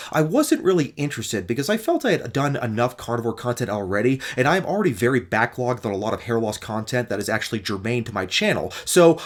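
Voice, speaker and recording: Very fast delivery with lively intonation. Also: man. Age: 40s. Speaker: YouTuber debunking diet claims. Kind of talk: commentary response video.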